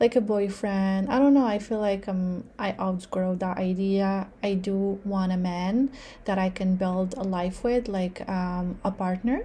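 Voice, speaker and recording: Somewhat breathy and dark, mellow in tone, a woman's voice sits at medium pitch with fairly even intonation. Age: 30s. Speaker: vlogger. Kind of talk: personal vlog monologue. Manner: casual, many fillers.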